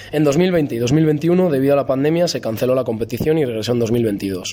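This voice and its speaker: Male speaker with lively intonation. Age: 30s. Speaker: football coach. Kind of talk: testimony.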